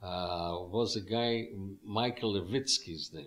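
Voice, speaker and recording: A man speaks in a fairly low voice with a strong non-native accent. His pitch varies in an ordinary way. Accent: strong foreign. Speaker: musician and club owner. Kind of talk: interview.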